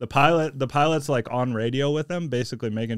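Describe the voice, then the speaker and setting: A man with an American accent talks at a fairly quick pace in an ordinary speaking voice. The recording is very clean with a silent background. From US Midwest, St. Louis area. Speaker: jiu-jitsu instructor and Air Force veteran. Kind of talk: casual chat.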